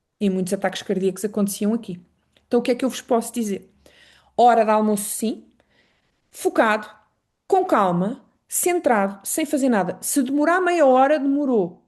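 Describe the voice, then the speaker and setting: Against a quiet background, a woman with a European Portuguese accent speaks at a moderate pace with very wide pitch swings and long, frequent pauses. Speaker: Traditional Chinese Medicine specialist. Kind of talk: online lecture.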